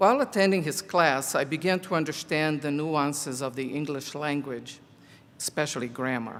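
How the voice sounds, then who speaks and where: A man's fairly high voice with a Portuguese accent, ordinary pitch variation and a fairly slow pace. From Brazil (Rio de Janeiro). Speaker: college teacher, commencement speaker. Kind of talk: commencement speech.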